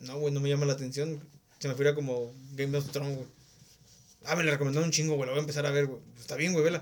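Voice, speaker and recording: Speaking at a very fast pace, a man keeps a monotone, flat intonation as audible room echo surrounds his voice. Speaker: podcast host. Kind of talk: casual chat.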